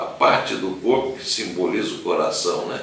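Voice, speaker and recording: Someone speaks at a fairly slow pace, with audible room echo and noticeable background noise. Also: man. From Brazil, São Paulo state (Vale do Paraíba). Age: 70s. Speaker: lawyer and businessman giving a faith talk. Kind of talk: testimony talk at a dinner. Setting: dinner event with audience. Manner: halting, many fillers.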